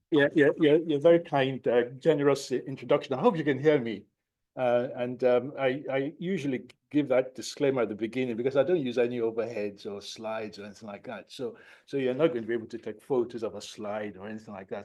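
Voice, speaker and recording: A man with a Nigerian accent talks at a fairly quick pace with ordinary pitch variation and big swings in loudness. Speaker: professor of psychiatry. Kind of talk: lecture. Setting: lecture hall, no slides. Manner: repetitive, halting.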